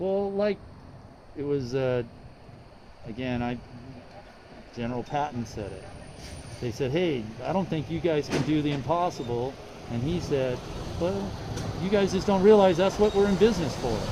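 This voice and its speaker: Lively intonation runs through moderately paced speech with long, frequent pauses and noticeable background noise. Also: man, fairly high pitch for a man. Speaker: livestreamer filming police. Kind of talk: casual chat. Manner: loud.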